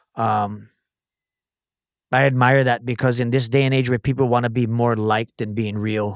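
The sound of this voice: A man's medium-pitched voice at a moderate pace, with little pitch movement, on a very clean recording with a silent background.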